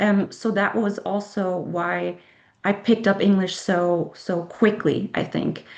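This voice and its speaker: A woman with a German accent speaks with fairly even intonation. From Germany. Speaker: author. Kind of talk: interview. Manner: halting.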